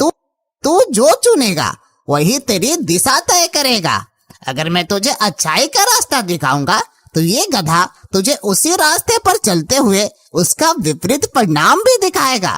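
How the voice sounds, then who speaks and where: A cartoonish character voice, fairly high in pitch, at a fairly slow pace. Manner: calm, reassuring.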